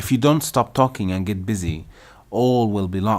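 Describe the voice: Plain reading aloud, delivered with ordinary pitch variation.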